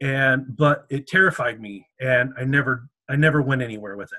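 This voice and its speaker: A man speaks at a medium pitch in a bright, sharp tone, his intonation fairly even. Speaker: medieval reenactment society member, drummer. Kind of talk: interview. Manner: halting.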